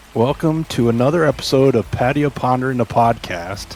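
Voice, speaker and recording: Music plays in the background. A man talks over it at medium pitch. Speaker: podcast host. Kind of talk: casual podcast interview.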